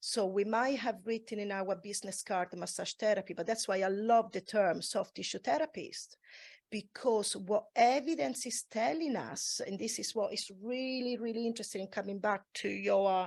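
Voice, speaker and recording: On a very clean recording with a silent background, a woman with a non-native accent talks at a moderate pace with hardly any pauses, a fairly high pitch and ordinary pitch variation. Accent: foreign. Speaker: massage therapist. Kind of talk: panel discussion.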